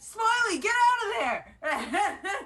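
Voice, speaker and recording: Using a put-on character voice, a woman speaks in a shrill, extremely high pitch. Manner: urgent, shouting.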